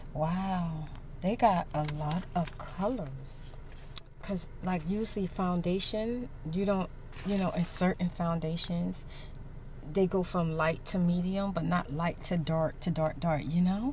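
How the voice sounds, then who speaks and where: A woman with an American accent speaks very slowly in a somewhat breathy, fairly low voice with ordinary pitch variation and long, frequent pauses. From United States. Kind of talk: casual storytime chat to camera. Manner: soft-spoken.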